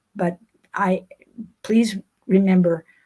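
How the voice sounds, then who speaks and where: The sound is dry and close, with no echo. The voice is somewhat breathy and moves at a fairly slow pace. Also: woman. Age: 80s+. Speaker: recreational cyclist. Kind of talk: interview. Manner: halting.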